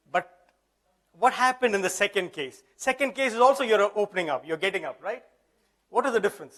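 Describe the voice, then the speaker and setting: A man with a high-pitched voice talks very fast in a lively intonation, broken by long, frequent pauses. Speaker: workshop presenter. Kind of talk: workshop lecture. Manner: interactive, questioning audience.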